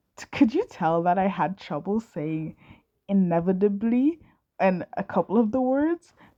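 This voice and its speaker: A fairly slow delivery with a dark, mellow tone, lively intonation, and a dry, close sound with no echo. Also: woman. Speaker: amateur fanfiction audiobook reader. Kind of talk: casual chat; reading aloud. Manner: halting, frequent stumbles and restarts.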